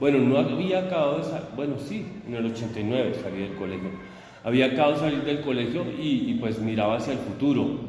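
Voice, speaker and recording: Lively intonation marks a man talking at a very fast pace. Audible room echo and noticeable background noise surround him. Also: medium pitch for a man. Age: 50s. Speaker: teacher. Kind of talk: interview.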